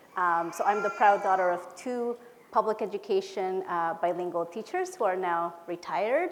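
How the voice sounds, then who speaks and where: Over noticeable background noise, a woman with a Spanish accent talks at a moderate pace, medium pitch and fairly even intonation. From Peru, moved to California at about ten. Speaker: education policy director. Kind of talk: conference presentation. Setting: conference hall with audience. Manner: casual, with many filler words.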